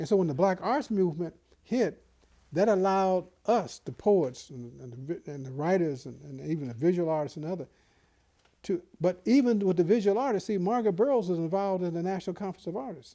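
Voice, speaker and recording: A man speaks with a high pitch and a dark, mellow tone at a fairly quick pace. His intonation is lively, and his loudness swings widely. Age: 70s. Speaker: poet and publisher. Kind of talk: oral history interview. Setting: in-person interview in Chicago. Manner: animated, repetitive restarts.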